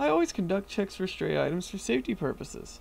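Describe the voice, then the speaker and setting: Putting on a squeaky character voice, a man talks at a very fast pace and high pitch. Clear background noise can be heard. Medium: read story. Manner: timid, stammering.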